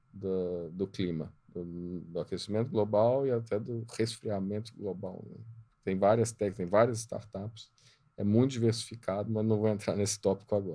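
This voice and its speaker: A man's fairly low voice keeps fairly even intonation while he talks at a moderate pace. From Minas Gerais, Brazil (Juiz de Fora). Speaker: entrepreneur and board mentor. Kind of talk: podcast interview.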